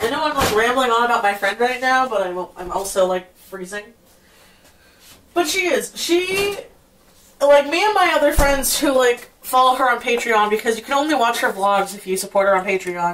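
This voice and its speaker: Over noticeable background noise, a woman with a high pitch speaks at a moderate pace with very wide pitch swings. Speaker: vlogger. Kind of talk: casual vlog talk. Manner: rambling, scattered.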